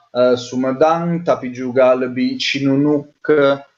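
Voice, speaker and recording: A man with an Italian accent speaks with fairly even intonation. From Italy. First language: Italian (speaking Indonesian). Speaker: anthropologist researcher. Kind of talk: interview. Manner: halting, many fillers.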